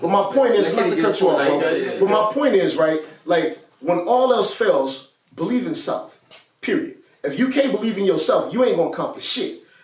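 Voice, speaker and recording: A loud man's voice at an extremely high pitch with very wide pitch swings, moderate pace and audible room echo. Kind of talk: casual chat. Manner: animated.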